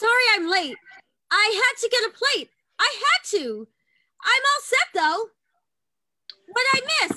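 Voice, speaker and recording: A squeaky, put-on character voice at an extremely high pitch. It moves at a fairly slow pace with long, frequent pauses. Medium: stage play.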